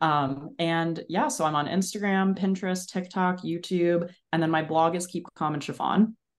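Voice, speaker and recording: A woman with an American accent speaks at a moderate pace with hardly any pauses, in a plain, everyday voice. Her pitch is fairly low, with ordinary variation. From New Jersey, Bergen County. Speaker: content creator. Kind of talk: casual interview chat.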